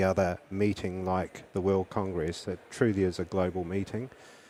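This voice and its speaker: The voice has a dark, mellow tone and speaks with a South African accent. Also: man. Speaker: anesthesiologist. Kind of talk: interview.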